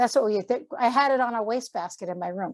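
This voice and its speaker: A woman's plain, everyday voice, fairly high in pitch, with lively intonation and a fairly quick pace, on a very clean recording with a silent background. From Massachusetts. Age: 60s. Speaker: artist and art teacher. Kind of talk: casual interview chat.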